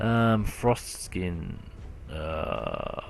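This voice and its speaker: With an Australian accent, a man speaks in a room with audible echo and noticeable background noise. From Australia, Brisbane. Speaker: gaming youtuber. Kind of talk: casual gameplay commentary. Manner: hesitant, many fillers. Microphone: poor recording quality.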